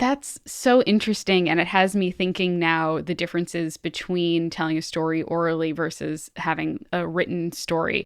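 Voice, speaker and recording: Against a quiet background, a woman with an unremarkable speaking voice talks at a fairly low pitch and moderate pace, with ordinary pitch variation and hardly any pauses. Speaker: podcast host. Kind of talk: podcast interview question.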